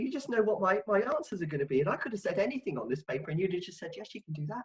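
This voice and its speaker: A woman speaks with a London accent. Her intonation is lively. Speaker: marketing consultant. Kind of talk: casual chat. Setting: video call.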